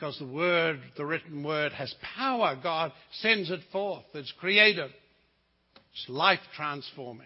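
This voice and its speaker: This man talks with a New Zealand accent. His pitch is fairly high and his pace fairly slow. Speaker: visiting preacher. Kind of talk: sermon. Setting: church.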